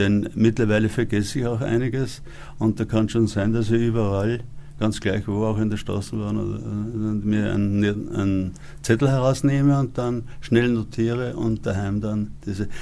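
A man talks at a fairly slow pace with fairly even intonation and a fairly low pitch. He has an unremarkable speaking voice. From Upper Austria. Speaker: author and actor. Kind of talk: interview.

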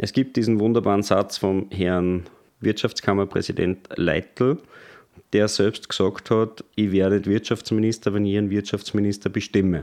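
An ordinary speaking voice at a moderate pace, with fairly even intonation and very even loudness, is heard against a quiet background. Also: man, fairly low pitch for a man. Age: 30s. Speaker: party spokesman. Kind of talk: interview.

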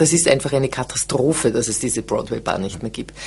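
Against noticeable background noise, a woman speaks at a very deep, low pitch. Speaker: theatre director. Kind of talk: interview. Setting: studio.

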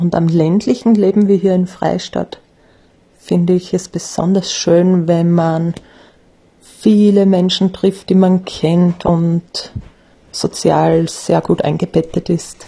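Over noticeable background noise, the speech comes very slowly, in a monotone, flat intonation with very even loudness. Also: woman, fairly low pitch for a woman. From Austria, Graz area. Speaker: teacher. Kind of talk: personal statement.

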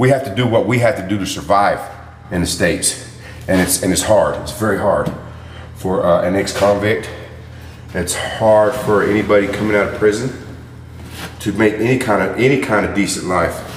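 Speaking in an American accent with fairly low pitch and fairly even intonation, a man leaves long, frequent pauses amid noticeable background noise and audible room echo. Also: moderate pace. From Chicago. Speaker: ex-convict. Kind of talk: interview.

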